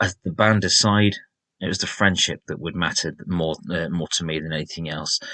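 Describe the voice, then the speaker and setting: Delivered at a moderate pace with a slight Sheffield accent, the bright, sharp voice keeps fairly even intonation against a quiet background. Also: man. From Sheffield, northern England. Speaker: rock music podcaster, former music journalist. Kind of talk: podcast monologue.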